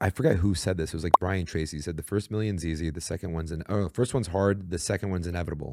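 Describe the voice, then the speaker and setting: Very fast and with hardly any pauses, a man talks in a very deep, low pitch. The recording is very clean with a silent background, and the sound is dry and close with no echo. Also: ordinary pitch variation. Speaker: podcast co-host. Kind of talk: podcast interview. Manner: casual.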